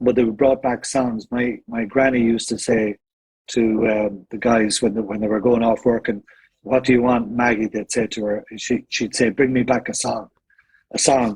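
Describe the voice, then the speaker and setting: In an Irish accent, a man speaks at a moderate pace with monotone, flat intonation. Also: medium pitch for a man. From Ireland, County Meath. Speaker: singer in vocal harmony group. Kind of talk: casual interview.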